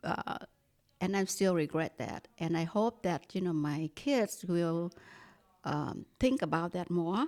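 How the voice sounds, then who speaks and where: This woman speaks with a Vietnamese accent. Her pace is very slow. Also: fairly low pitch for a woman, ordinary pitch variation. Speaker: staff member. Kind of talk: casual chat. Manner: clear.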